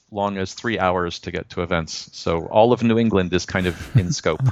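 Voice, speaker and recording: Over a quiet background, a man uses an ordinary speaking voice at a fairly low pitch and moderate pace, with ordinary pitch variation. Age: 50s. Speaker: software developer. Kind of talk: casual interview.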